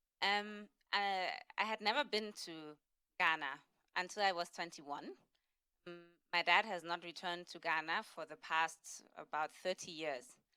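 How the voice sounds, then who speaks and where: With a German accent, a woman with a fairly low pitch and a bright, sharp tone speaks at a moderate pace with ordinary pitch variation, big swings in loudness and long, frequent pauses. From Germany, Berlin. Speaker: panelist. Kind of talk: panel discussion.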